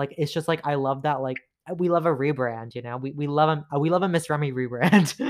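Animated in tone, a man races along at a very fast pace in a fairly high pitch. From Toronto, Canada. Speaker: podcaster. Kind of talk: casual solo podcast monologue. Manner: fast talker; animated, giggly.

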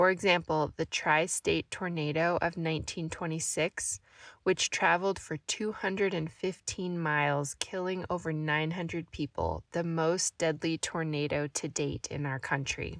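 A woman with a Midwestern American accent speaks at a fairly slow pace in a fairly low voice, with fairly even intonation and hardly any pauses. The recording is very clean with a silent background, its sound dry and close with no echo. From US Midwest, southwest Missouri. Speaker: book podcast host. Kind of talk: book review monologue.

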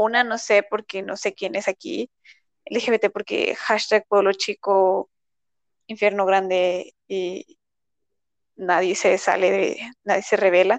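In a Mexican accent, a woman speaks at a very slow pace with long, frequent pauses, medium pitch and fairly even intonation, the sound dry and close with no echo. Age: 20s. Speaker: university student. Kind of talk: casual chat.

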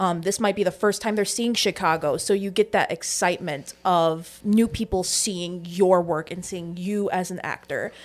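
A woman has a plain, everyday voice at a medium pitch with fairly even intonation. She speaks at a moderate pace with hardly any pauses. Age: 20s. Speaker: stage manager. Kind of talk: casual chat. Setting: studio.

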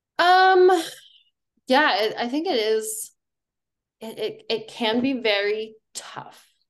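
A woman with an American accent speaks very slowly with long, frequent pauses, in a fairly high pitch with very wide pitch swings. Her loudness swings widely, and the room echo is audible. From Colorado. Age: 30s. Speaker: professional runner. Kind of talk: casual chat.

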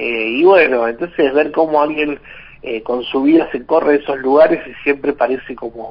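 Moderate-paced male speech, fairly high in pitch with ordinary pitch variation, amid noticeable background noise. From Argentina, Hurlingham (Buenos Aires). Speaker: teacher and biographer. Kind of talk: radio interview.

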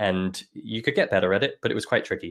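Fairly quick delivery from a male speaker with an English accent. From London. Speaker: music education company founder. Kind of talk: interview conversation. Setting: remote call.

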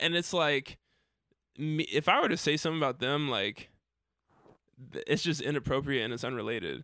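A man with an American accent speaks at a fairly quick pace in a fairly high pitch, bright and sharp in tone with ordinary pitch variation. He leaves long, frequent pauses on a very clean recording with a silent background. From Dayton, Ohio, US Midwest. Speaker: musician. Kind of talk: casual chat. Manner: halting.

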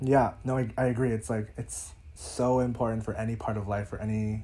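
A man with an American accent speaks at a moderate pace, his tone dark and mellow. His voice is somewhat breathy, with ordinary pitch variation. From US East Coast, Northern Virginia. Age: 20s. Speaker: social media creator and photographer. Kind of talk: casual chat.

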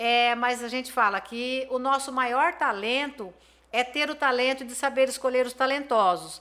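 Raising and projecting her voice, a woman speaks fairly slowly in a high pitch with a bright, sharp tone and fairly even intonation. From Brazil, Campo Grande, Mato Grosso do Sul. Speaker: businesswoman. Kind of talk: interview.

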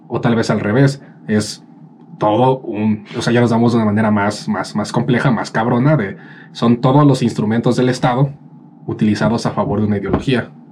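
Over noticeable background noise, a man speaks at a fairly quick pace with a medium pitch and ordinary pitch variation. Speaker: podcast co-host. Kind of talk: casual chat.

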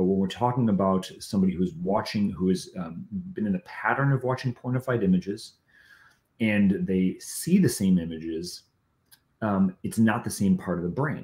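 An unremarkable speaking voice from a man, fairly low in pitch, with ordinary pitch variation at a moderate pace. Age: 40s. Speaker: founder of a recovery coaching ministry. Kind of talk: casual chat.

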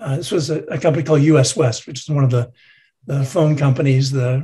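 A man with a fairly high pitch speaks in a dark, mellow, somewhat breathy tone. His pace is moderate and his intonation fairly even. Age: 60s. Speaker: retired tech executive and board member. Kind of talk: interview.

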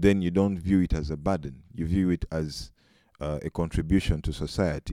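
Very deep and low, a man's dark, mellow voice moves at a moderate pace with ordinary pitch variation in a very clean, dry, close recording with no echo and a silent background. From Uganda. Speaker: student. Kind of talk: casual chat.

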